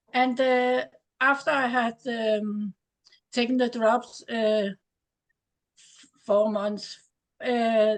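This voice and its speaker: With a Danish accent, a woman speaks very slowly at a fairly high pitch and with fairly even intonation. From Denmark. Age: 70s. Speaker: distributor giving product testimony. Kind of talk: testimony. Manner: halting, many hesitations.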